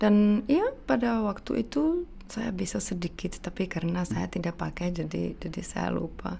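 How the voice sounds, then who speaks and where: A woman at a moderate pace with hardly any pauses. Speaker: university lecturer in Indonesian studies. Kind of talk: interview conversation. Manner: halting.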